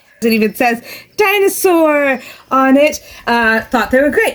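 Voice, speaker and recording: With lively intonation and an American accent, a woman talks very slowly in a high voice. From US Midwest. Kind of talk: casual commentary to camera. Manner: sometimes stumbles over words.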